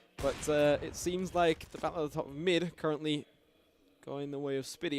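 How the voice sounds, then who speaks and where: A man with an American accent speaks very fast, his pitch fairly high for a man. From Canada. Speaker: esports commentator. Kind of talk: live commentary.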